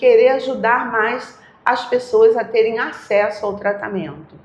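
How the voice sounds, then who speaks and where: Against noticeable background noise and audible room echo, a woman talks at a fairly slow pace. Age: 60s. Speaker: retired oncology nurse. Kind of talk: interview, personal storytelling.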